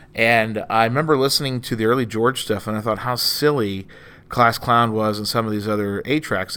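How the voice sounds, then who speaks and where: At a very fast pace, a man with an American accent speaks at medium pitch. His intonation is fairly even, and the recording is very clean with a silent background. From Texas Gulf Coast, Corpus Christi. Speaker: stand-up comedian and comedy club owner. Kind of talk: casual chat.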